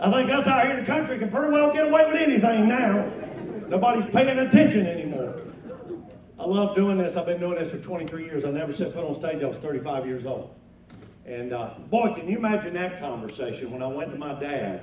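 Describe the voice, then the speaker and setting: With an American accent, the speaker goes at a very fast pace with very wide pitch swings, amid noticeable background noise and audible room echo. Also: man, high pitch for a man. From North Carolina. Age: 50s. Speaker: comedian and farmer. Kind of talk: stand-up.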